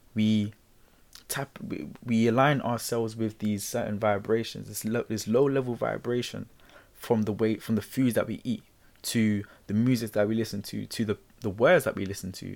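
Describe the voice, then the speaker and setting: A man with medium pitch and an ordinary speaking voice talks at a moderate pace with fairly even intonation, recorded very cleanly against a silent background. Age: 20s. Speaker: self-help podcast host. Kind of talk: solo motivational talk. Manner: casual, repetitive fillers.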